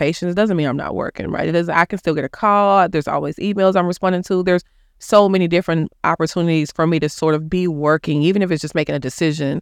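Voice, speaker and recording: Against a quiet background, the speaker talks at a very fast pace with an American accent. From Dallas, Texas (Oak Cliff). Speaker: clinical psychologist. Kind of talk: interview. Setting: studio.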